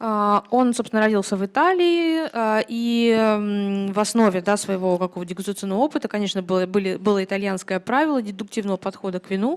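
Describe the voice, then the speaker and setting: A woman's very fast, medium-pitched speech with a Russian accent, hardly any pauses, and ordinary pitch variation, on a very clean recording with a silent background. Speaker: interpreter. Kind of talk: consecutive interpreting. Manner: hesitant, many filler sounds.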